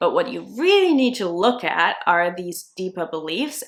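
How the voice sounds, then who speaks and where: Speaking at a middling speed, a woman talks with a non-native accent. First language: not English. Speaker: self-concept coach. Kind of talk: video tutorial.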